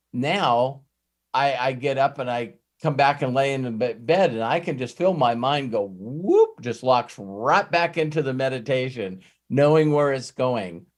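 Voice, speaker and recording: The speech moves at a fairly slow pace with ordinary pitch variation, in a very clean recording with a silent background. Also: man, medium pitch for a man. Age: 60s. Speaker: personal development coach. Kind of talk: casual group training chat. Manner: animated; repetitive, halting restarts.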